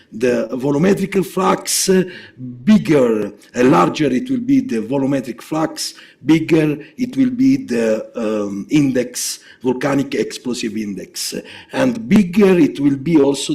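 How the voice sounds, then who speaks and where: A man's dark, mellow, fairly high voice at a fairly slow pace, with very wide pitch swings. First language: Italian. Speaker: geophysics researcher. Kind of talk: lecture. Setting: seminar. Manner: halting, many fillers.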